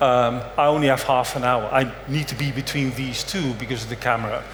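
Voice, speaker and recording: Noticeable background noise and audible room echo surround a man speaking fairly quickly. His pitch is medium and his intonation fairly even. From Netherlands, raised mostly abroad. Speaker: conference speaker, compliance strategy lead. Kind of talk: conference talk. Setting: stage with audience, filmed. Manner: casual, joking.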